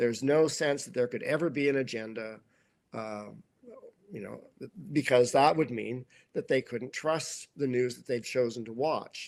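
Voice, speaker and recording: A man with medium pitch and ordinary pitch variation speaks with big swings in loudness and long, frequent pauses. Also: moderate pace. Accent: Canadian. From Canada. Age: 60s. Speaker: author. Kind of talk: interview. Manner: halting, many repetitions.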